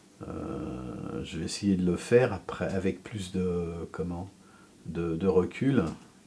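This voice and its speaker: His pitch is very deep and low. The man talks at a very slow pace. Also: long, frequent pauses, big swings in loudness. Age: 60s. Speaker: sculptor. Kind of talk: interview. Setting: home workshop. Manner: halting, many fillers.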